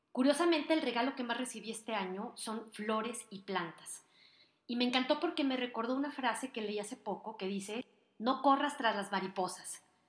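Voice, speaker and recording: A woman with an unremarkable speaking voice talks at a moderate pace, her pitch fairly high with ordinary variation. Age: 40s. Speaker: author and motivational speaker hosting a podcast. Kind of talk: motivational monologue. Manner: warm, upbeat.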